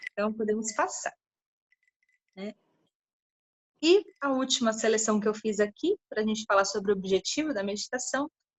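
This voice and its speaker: A woman with a fairly high pitch sounds somewhat breathy, with ordinary pitch variation. She moves at a moderate pace but takes long, frequent pauses. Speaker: lecturer on meditation and yoga. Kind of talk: lecture.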